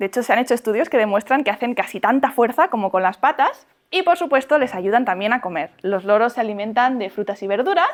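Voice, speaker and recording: A high-pitched woman talks at a very fast pace. Her tone is animated and her intonation lively. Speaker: bird educator, parrot content creator. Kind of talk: talk to schoolchildren. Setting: classroom. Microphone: poor camera audio at end of class.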